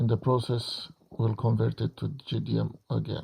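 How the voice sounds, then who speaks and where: Speaking at a moderate pace with a non-native accent, a man comes through with a dry, close sound and no echo. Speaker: game modder. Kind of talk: tutorial. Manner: halting.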